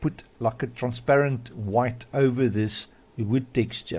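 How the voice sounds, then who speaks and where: A man speaks with an Afrikaans accent. His pitch is medium and his pace fairly slow. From South Africa. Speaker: modding tutorial youtuber. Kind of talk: tutorial. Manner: casual, hesitant with many fillers.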